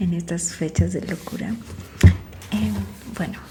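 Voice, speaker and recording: Soft-spoken delivery comes through over noticeable background noise. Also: woman. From Mexico. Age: 40s. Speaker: makeup artist. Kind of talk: casual talk to camera.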